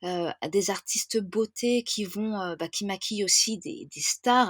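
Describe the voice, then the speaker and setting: Recorded with a dry, close sound and no echo, a woman speaks at a medium pitch with ordinary variation. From France. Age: 30s. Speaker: wedding planner. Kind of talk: podcast interview. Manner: hesitant, many fillers; enthusiastic.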